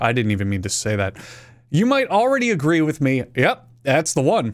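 A man's pitch makes very wide swings. The background is quiet. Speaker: video commentator. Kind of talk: commentary. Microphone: studio mic.

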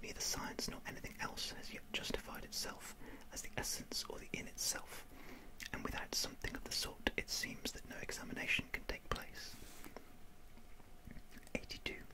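A woman speaks in a whisper. Long pauses come often. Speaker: ASMR reader. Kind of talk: ASMR whispered reading of philosophy text. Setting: close microphone with windshield, studio. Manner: whispered, soft. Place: home room. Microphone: studio mic.

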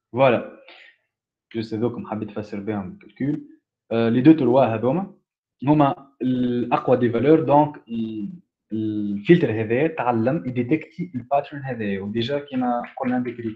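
A man at medium pitch and a fairly slow pace, with ordinary pitch variation, big swings in loudness and a quiet background. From Tunisia. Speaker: student giving a technical talk; presenter. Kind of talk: lecture. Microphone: video call.

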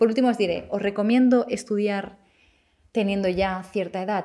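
Her dark, mellow voice sits at a medium pitch for a woman, with fairly even intonation. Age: 30s. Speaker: YouTuber and psychology student. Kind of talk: casual vlog monologue.

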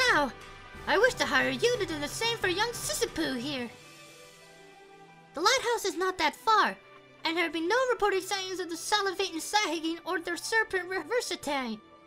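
A put-on character voice at a fairly quick pace, with long, frequent pauses over clear background music. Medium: audio drama. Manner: flamboyant, wordy, rapid.

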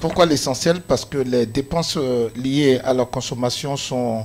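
A man talks at a fairly slow pace and medium pitch, his tone slightly mellow and his intonation fairly even.

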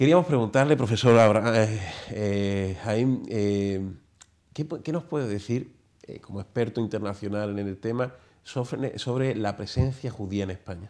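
A man talks at a fairly slow pace in an ordinary speaking voice. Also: fairly low pitch for a man, ordinary pitch variation. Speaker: TV show host. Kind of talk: interview. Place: studio. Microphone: lapel.

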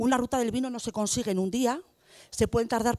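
Ordinary pitch variation from a woman, set against a quiet background. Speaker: debate moderator, rural development manager; panel moderator. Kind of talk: panel discussion moderation. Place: hall. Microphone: handheld.

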